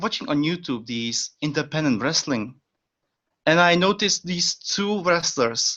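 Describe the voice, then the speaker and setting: This man has a Czech accent. His voice sits at a fairly high pitch. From Czech Republic. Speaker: pro wrestling trainee. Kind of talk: casual interview.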